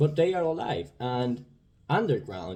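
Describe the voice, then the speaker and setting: In a Spanish accent, a voice with a dark, mellow tone and a somewhat breathy quality speaks at a fairly slow pace. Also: man. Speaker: vlogger. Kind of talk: casual monologue. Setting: indoors. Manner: halting.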